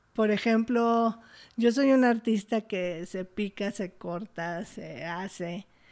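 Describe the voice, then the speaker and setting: Very slow speech from a woman of medium pitch, big swings in loudness, in a very clean recording with a silent background. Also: ordinary pitch variation. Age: 50s. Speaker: performance artist and activist. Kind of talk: interview conversation.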